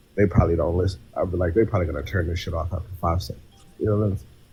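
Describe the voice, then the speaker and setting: A man's voice over noticeable background noise. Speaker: poet and author. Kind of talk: casual chat. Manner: rambling, talkative.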